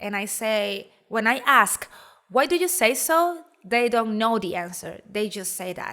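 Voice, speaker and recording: A woman with a Spanish accent uses a bright, sharp tone with very wide pitch swings. Her loudness swings widely, and her pace is fairly slow. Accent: Spanish-accented English, soft r's. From Venezuela, Calabozo, Guárico. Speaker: graduate student. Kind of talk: recorded presentation.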